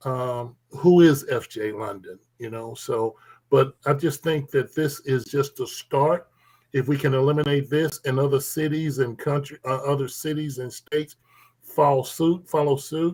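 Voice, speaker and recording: A man talks in a fairly high, somewhat breathy voice. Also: fairly even intonation, fairly slow pace. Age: 60s. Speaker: Sunday school teacher, panelist. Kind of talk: panel discussion. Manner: halting.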